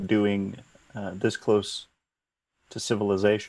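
This man has a plain, everyday voice with a fairly low pitch. He speaks at a fairly slow pace. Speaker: player. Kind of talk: tabletop role-playing game, in-character play.

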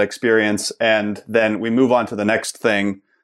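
An unremarkable speaking voice with an American accent and fairly even intonation, over a quiet background. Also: man. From Pittsburgh, US. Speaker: design entrepreneur. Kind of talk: casual interview.

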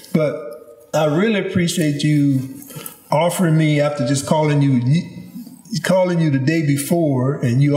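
A man speaks at a moderate pace in a fairly high pitch. His pitch varies in an ordinary way. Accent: Louisiana. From Louisiana, Baton Rouge. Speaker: podcast host. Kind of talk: interview. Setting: at a home with animals in background.

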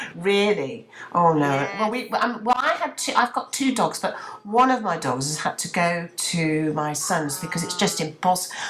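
With music playing in the background, a woman of medium pitch talks with very wide pitch swings. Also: moderate pace. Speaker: radio presenter. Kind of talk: casual chat. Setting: video call.

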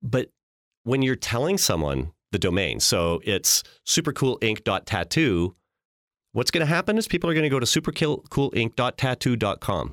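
A man's medium-pitched voice in a Canadian Prairie accent, with vocal fry, very wide pitch swings, very even loudness, moderate pace, and a dry, close sound with no echo. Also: very clean recording, silent background. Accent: Canadian English (Prairies). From Canada, Saskatchewan (Regina). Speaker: branding agency executive. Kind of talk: podcast interview.

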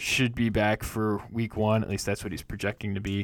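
This man has a fairly low pitch and speaks at a moderate pace. The recording is very clean, with a silent background. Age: 30s. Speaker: fantasy football podcast host. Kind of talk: solo podcast monologue. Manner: halting, many filler words.

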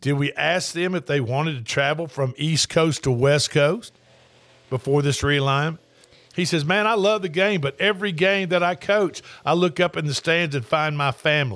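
A man speaks in a Tennessee accent at a moderate pace, his pitch fairly high with ordinary variation. The recording is very clean, with a silent background. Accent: US Southern (Tennessee). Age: 60s. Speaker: sports radio host. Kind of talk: casual sports talk. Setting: studio.

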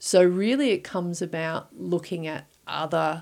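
Fairly slow pace and ordinary pitch variation on a very clean recording with a silent background. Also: woman. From Victoria, Australia. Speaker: poultry research director. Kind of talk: interview. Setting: studio.

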